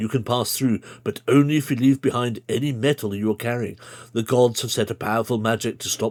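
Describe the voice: The text is read aloud. The delivery is plain.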